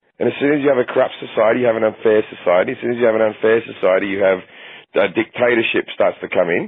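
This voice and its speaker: Very fast speech with an Australian accent. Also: man. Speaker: comedian. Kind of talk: podcast interview answer. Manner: casual, profane.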